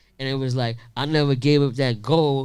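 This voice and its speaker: Fairly even intonation in a man's mid-range voice. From Queensbridge, Queens, New York. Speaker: hip-hop tour organizer. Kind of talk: panel Q&A at live event.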